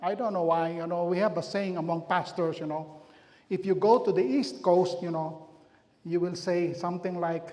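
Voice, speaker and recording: A man's high-pitched voice with a strong Filipino accent at a moderate pace, with audible room echo. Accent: heavy Filipino. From Philippines. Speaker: pastor. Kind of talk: community health talk.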